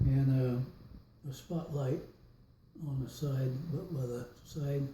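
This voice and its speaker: In an American accent, the speaker is somewhat breathy with a dark, mellow tone, talking at a very slow pace in a monotone, flat intonation. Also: man. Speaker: World War II veteran. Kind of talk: interview answer. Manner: hesitant, rambling.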